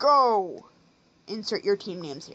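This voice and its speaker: Using a put-on character voice, a woman talks at a fairly slow pace and a medium pitch. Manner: theatrical, showy.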